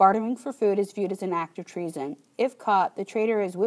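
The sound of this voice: Pitch varies in an ordinary way in this unforced reading voice.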